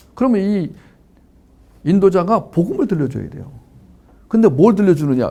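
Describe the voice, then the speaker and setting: In a dark, mellow tone, a man with a high pitch talks at a moderate pace, his pitch swinging very widely. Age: 60s. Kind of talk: lecture. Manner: animated, conversational.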